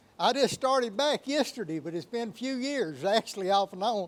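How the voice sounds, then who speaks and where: This man speaks in an Appalachian accent with a high pitch, lively intonation and a moderate pace. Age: 70s. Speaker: relief volunteer. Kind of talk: interview soundbite.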